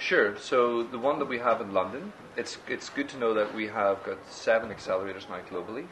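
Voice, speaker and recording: With an Irish accent, a man at a medium pitch talks at a fairly quick pace with ordinary pitch variation, and background noise is noticeable. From Ireland. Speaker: startup accelerator executive. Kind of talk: interview.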